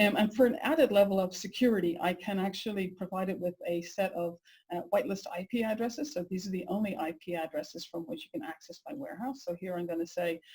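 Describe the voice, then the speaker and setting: A woman with an Irish accent talks at a very fast pace and a medium pitch. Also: lively intonation. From Ireland. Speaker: software engineering executive. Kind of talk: webinar product demo. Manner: hesitant, many fillers.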